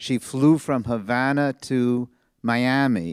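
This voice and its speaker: A man's medium-pitched voice with a New York accent and ordinary pitch variation, dry and close with no echo, on a very clean recording with a silent background. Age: 70s. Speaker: audience member. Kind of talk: audience question at book talk.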